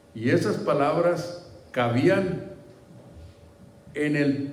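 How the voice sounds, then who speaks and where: A man with a fairly high pitch is heard amid noticeable background noise and audible room echo. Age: 70s. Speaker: pastor. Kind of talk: sermon. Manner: halting.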